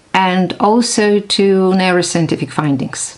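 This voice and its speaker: Noticeable background noise sits behind a woman speaking fairly slowly at a medium pitch. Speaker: neuroscientist. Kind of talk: casual vlog talk.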